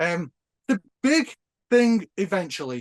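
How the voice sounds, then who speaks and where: A man speaks with a Northern English accent. His intonation is lively. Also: dry, close sound with no echo. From northern England. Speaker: nostalgia YouTuber. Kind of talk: casual chat.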